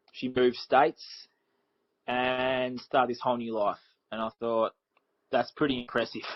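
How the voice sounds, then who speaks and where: A man's medium-pitched voice with an Australian accent, moderate pace, long and frequent pauses, and flat, monotone intonation. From Australia, Victoria near Melbourne. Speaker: life coach for teens. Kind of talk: podcast interview.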